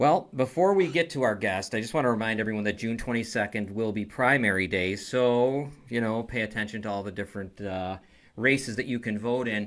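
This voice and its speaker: A man with a Buffalo accent talks at a fairly quick pace in a medium pitch. His pitch variation is ordinary, and the recording is very clean with a silent background. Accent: Western New York (Buffalo). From Niagara Falls, Western New York. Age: 50s. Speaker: talk show host. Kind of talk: casual interview. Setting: studio.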